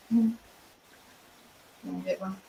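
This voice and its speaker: Noticeable background noise behind a woman's Australian accent. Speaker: artist. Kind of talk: casual chat. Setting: live stream.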